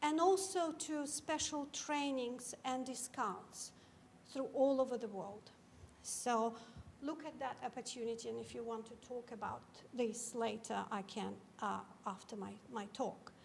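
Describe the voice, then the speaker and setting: In a room with audible echo, a woman with a Georgian accent speaks at a fairly slow pace in a high voice with ordinary pitch variation. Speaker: cybersecurity academic, keynote speaker. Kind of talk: keynote talk. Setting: lecture theatre with audience.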